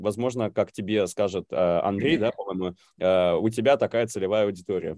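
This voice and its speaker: Against a quiet background, a man with a fairly low pitch and a dark, mellow tone keeps very even loudness and hardly any pauses. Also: ordinary pitch variation, moderate pace, dry, close sound with no echo. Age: 30s. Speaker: recurring podcast guest, amateur actor. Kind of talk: casual live-stream interview. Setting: live stream over video call.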